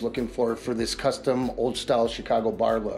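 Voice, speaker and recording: Over faint music in the background, a man speaks at a moderate pace with monotone, flat intonation. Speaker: remodeling contractor. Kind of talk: walkthrough tour commentary. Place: home room.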